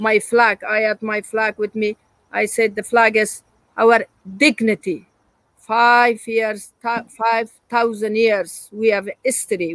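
Her voice fairly high, a woman talks at a fairly slow pace in a monotone, flat delivery, with a dry, close sound and no echo. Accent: Afghan. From Afghanistan. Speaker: journalist. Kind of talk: interview. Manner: emotional.

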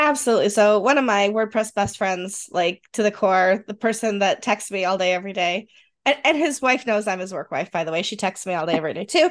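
A woman with a slight western New York accent, medium pitch, lively intonation and a fairly quick pace, over a quiet background. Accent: Rochester, western New York, slight.

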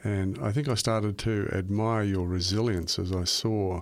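Very clean recording with a silent background, a man with an Australian accent and fairly low pitch. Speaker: radio host. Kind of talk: scripted narration; interview.

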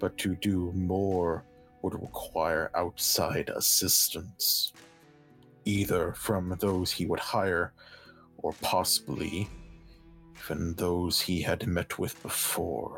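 A man growls in a put-on character voice at a very deep, low pitch, with fairly even intonation and a very slow pace. Clear music plays in the background. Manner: formal, stiff, courteous.

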